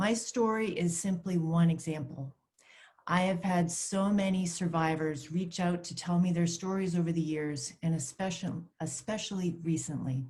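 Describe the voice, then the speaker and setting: A woman speaks at a moderate pace in an American accent. Her voice is somewhat breathy, and her intonation is fairly even. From US Northeast, Maine. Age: 50s. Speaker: clergy person. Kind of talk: testimony. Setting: virtual summit video. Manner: read from a script.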